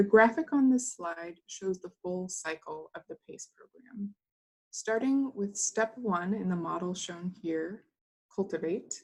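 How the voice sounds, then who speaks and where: Somewhat breathy, a woman speaks at a fairly slow pace and medium pitch, with lively intonation and big swings in loudness. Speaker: webinar presenter. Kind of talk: scripted presentation. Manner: reading from a script.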